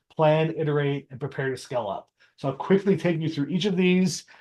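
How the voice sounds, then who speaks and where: Against a quiet background, a man with a plain, everyday voice speaks at a moderate pace in a fairly high pitch with ordinary pitch variation. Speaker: marketing strategist and teacher. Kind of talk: webinar presentation. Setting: video call with screen share. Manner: casual with many fillers.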